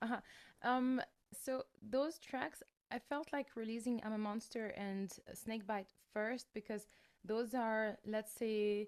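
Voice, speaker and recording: A woman speaks with a French accent. Her voice sits fairly high. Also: fairly even intonation, fairly slow pace. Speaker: metal singer. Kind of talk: interview. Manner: halting, with many fillers and repeated words.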